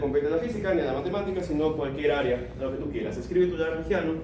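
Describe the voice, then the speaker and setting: A fairly high-pitched man with ordinary pitch variation, in audible room echo. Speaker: lecturer. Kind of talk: lecture.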